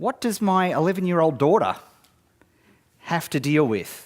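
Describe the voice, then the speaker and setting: In an Australian accent, a man speaks at a moderate pace with a fairly high pitch. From Australia, northeast Victoria. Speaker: marketing speaker. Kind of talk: conference talk. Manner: animated.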